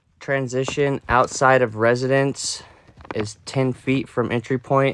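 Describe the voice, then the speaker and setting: Delivered at a very slow pace, the voice sounds dry with no echo over light background noise. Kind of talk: inspection report narration. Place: home room.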